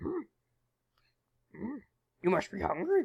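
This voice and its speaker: Using a raspy, put-on character voice, a man speaks at a high pitch. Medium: comedy sketch. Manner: inverted word order, musing "hmm".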